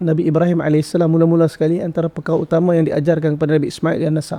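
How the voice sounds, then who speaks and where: This man has a fairly high pitch and a dark, mellow tone. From Sarawak, Malaysia. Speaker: religious teacher. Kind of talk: podcast interview.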